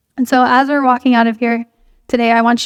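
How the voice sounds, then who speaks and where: In a dry, close sound with no echo, a woman with a fairly high voice speaks at a very fast pace in a monotone, flat way. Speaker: youth group speaker. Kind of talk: sermon.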